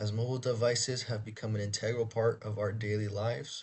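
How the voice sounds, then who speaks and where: This man speaks at a medium pitch with a somewhat breathy voice. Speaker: university student. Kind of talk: student presentation. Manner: read from script.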